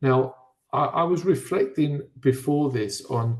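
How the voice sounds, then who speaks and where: A man with a British accent speaks in a somewhat breathy voice. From Britain. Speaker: physical education speaker. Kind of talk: webinar discussion. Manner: halting, with frequent fillers and repeats.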